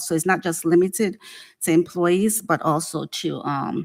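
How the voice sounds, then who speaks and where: A plain, everyday voice from a woman, fairly low in pitch, with fairly even intonation and a dry, close sound with no echo. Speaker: city HR director. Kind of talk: budget presentation to city council.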